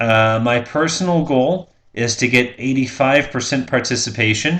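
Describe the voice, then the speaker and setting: The speaker is a man with a mid-range pitch. He talks at a moderate speed. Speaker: college instructor. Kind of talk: pre-recorded lecture. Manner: hesitant fillers.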